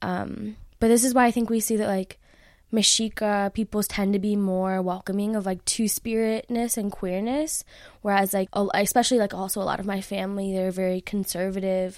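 An unremarkable speaking voice with an American accent and fairly even intonation. The recording is very clean, with a silent background. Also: woman, medium pitch for a woman. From Chicago. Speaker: philosophy PhD student and poet. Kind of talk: interview conversation; poetry reading. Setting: in-person interview.

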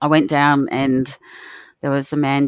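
A woman with an Australian accent, a very deep, low pitch, a warm tone and fairly even intonation, on a very clean recording with a silent background. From Australia, Northern Territory (near Darwin). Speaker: rural doctor. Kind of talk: personal storytelling.

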